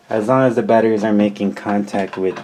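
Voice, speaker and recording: A calm tone from a man with a fairly low pitch, monotone, flat intonation and a moderate pace over noticeable background noise. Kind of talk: casual talk to camera. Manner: soft-spoken, calm.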